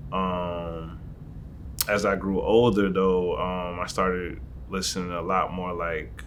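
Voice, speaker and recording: A man's very deep, low voice with an American accent, fairly even intonation and audible room echo. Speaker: rapper. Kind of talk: interview. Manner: monotone; not loud.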